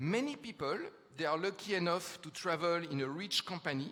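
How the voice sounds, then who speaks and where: Here a man with a French accent speaks at a high pitch in a bright, sharp tone. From France. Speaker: futurist speaker. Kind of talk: conference talk. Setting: stage with audience. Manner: hesitant fillers.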